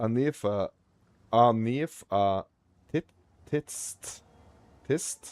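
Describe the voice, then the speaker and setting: Very slow delivery broken by long, frequent pauses, on a very clean recording with a silent background. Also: man, medium pitch for a man, ordinary pitch variation, dry, close sound with no echo. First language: not English. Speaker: gaming streamer. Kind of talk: casual live-stream chat. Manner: halting, stumbling over pronunciation.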